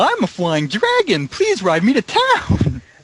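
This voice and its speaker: Using a put-on character voice, a man pitches himself high. His delivery moves at a fairly slow pace. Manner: serious.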